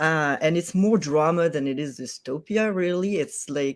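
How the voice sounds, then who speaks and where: On a very clean recording with a silent background, a man with a French accent and fairly high pitch speaks at a fairly slow pace with ordinary pitch variation. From France. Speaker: author. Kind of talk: casual chat.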